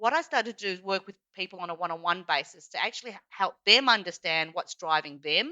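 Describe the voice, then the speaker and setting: Here a woman with an Australian accent speaks at a fairly quick pace. Her medium-pitched voice has lively intonation. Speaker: executive coach. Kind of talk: podcast interview. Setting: podcast recording.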